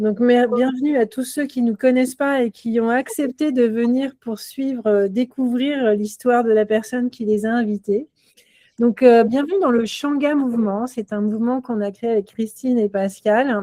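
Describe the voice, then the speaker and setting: Dry and close with no echo, a woman speaks at a moderate pace in a high-pitched voice with a dark, mellow tone. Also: fairly even intonation. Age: 50s. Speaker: entrepreneur, co-founder hosting a round table. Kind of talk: event introduction to an audience. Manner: hesitant, many filler sounds.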